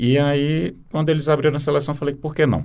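A fairly high-pitched man, a normal speaking voice, a moderate pace. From Brazil, Teresina (Piauí). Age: 40s. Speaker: poet and journalist. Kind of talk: interview.

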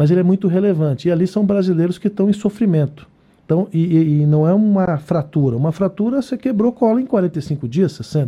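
Speaking at a fairly quick pace, a man with a high voice keeps his loudness very even while his intonation stays lively. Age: 50s. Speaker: head of social security agency. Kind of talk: live radio interview.

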